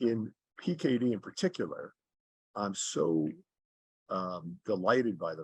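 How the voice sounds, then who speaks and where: A man talks against a quiet background. He has an unremarkable speaking voice. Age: 60s. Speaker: charity fundraiser cyclist. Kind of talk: interview. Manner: conversational with frequent fillers and repetitions.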